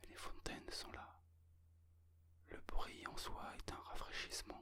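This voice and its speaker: Whispering at a very slow pace, a man lets his loudness swing widely. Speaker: ASMR creator and amateur photographer. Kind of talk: ASMR whispered relaxation talk about photography and travel. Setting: close-mic binaural ear-to-ear recording. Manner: whispered, soft-spoken.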